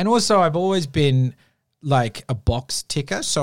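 A man speaks with an Australian accent. His intonation is lively. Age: 30s. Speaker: podcast producer and writer. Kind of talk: casual interview chat. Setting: studio.

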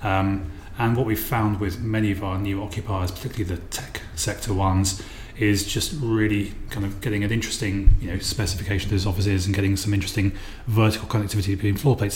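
Over noticeable background noise, a man with a fairly low voice talks at a fairly quick pace in a monotone, flat delivery. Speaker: property developer. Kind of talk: interview. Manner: hesitant, many fillers.

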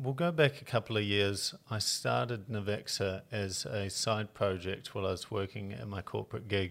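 A man with a New Zealand accent, fairly low pitch and moderate pace, in a very clean recording with a silent background. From rural New Zealand. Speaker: tech founder and investor. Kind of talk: interview.

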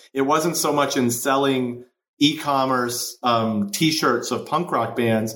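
In an American accent, a man talks at a moderate pace and medium pitch, with audible room echo. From US Midwest, Chicago. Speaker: entrepreneur, marketing agency co-founder. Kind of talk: interview.

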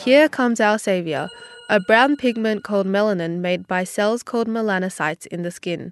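With lively intonation and a medium pitch, a woman with an unremarkable speaking voice talks at a moderate pace, the sound dry and close with no echo against a quiet background. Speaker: software engineering student. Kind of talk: explainer segment.

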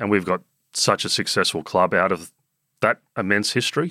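A man's very deep, low voice with a bright, sharp tone and an Australian accent, on a very clean recording with a silent background. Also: dry, close sound with no echo. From Sydney eastern suburbs, Australia. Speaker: cricket club chief executive. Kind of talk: casual interview.

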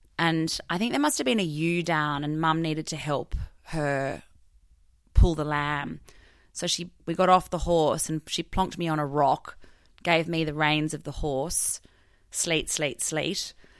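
With an Australian accent, a woman speaks at a fairly slow pace. Her very deep, low pitch stays monotone and flat. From southern New South Wales, Australia. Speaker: farmer. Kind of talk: interview.

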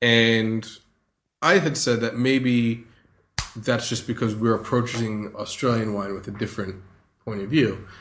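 A speaker with a New Jersey accent talks at a fairly slow pace, with long, frequent pauses. The intonation stays fairly even. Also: man, medium pitch for a man. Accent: American, New Jersey. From US, New Jersey. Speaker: sommelier. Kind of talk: interview.

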